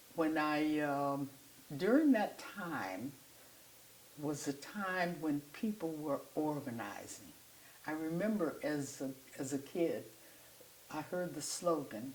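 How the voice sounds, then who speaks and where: Very slow and broken by long, frequent pauses, a woman's voice sits at a very deep, low pitch with lively intonation. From US Midwest, south side of Chicago. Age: 90s. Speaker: artist and activist. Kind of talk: interview storytelling. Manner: halting, with frequent fillers.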